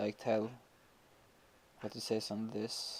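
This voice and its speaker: A man speaks with a Swedish accent at a medium pitch. His pace is fairly slow. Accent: Swedish accent, noticeable. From Sweden. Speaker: gaming youtuber. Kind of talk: gameplay commentary. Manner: hesitant, many fillers.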